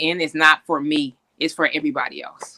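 Recorded with a dry, close sound and no echo, this speaker has an American accent. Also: woman. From US West Coast, Oakland, California. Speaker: basketball executive, former pro player. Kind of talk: interview chat. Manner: hesitant with frequent fillers.

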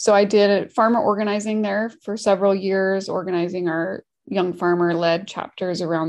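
A woman with an American accent speaks in an unremarkable speaking voice at a medium pitch, her intonation fairly even. The background is quiet. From Washington State, US. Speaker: farmer hotline program manager, former farmer. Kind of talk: interview.

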